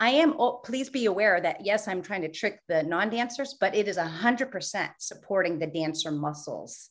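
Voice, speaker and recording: Lively intonation marks this American accent, delivered at a moderate pace with hardly any pauses. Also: woman, medium pitch for a woman. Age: 50s. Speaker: belly dance and fitness instructor. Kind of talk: interview. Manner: animated.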